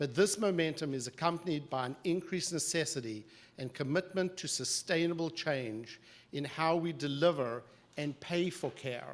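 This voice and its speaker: At a moderate pace, a man with an American accent talks with ordinary pitch variation. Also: fairly high pitch for a man. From South Africa. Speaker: psychiatric association executive and physician. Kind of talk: formal opening remarks at a briefing. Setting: live event with audience and webcast. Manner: formal.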